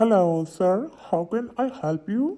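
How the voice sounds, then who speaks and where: Using a put-on character voice, the speaker talks at a fairly slow pace with a fairly high pitch. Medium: solo performance. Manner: polite, formal.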